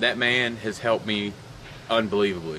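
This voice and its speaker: Over noticeable background noise, a man talks at a fairly quick pace in a fairly low pitch with fairly even intonation. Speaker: fitness vlogger. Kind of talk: video diary update. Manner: monotone.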